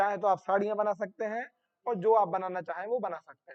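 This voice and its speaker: High male speech at a moderate speed, its pitch varying in an ordinary way. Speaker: agriculture exam coaching teacher. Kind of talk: online class lecture. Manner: repetitive question-and-answer teaching style.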